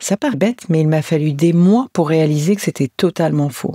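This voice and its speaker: A woman's fairly low, warm, dark and mellow voice at a fairly slow pace, with ordinary pitch variation, in a very clean recording with a silent background and a dry, close sound with no echo. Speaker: podcast host, end-of-life care companion. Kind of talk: personal podcast monologue. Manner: warm, tender, intimate.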